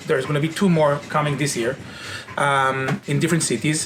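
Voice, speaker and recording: A man with an Israeli accent, fairly high pitched, at a moderate pace, with noticeable background noise. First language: Hebrew. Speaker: company founder and CEO. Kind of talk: interview monologue.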